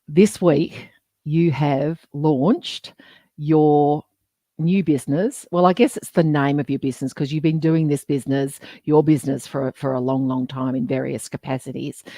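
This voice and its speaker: With an Australian accent, a woman speaks at a fairly slow pace in a very deep, low pitch and a dark, mellow tone, with ordinary pitch variation and a dry, close sound with no echo. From Western Australia (Geraldton). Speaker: podcast co-host. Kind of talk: live interview. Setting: LinkedIn live stream.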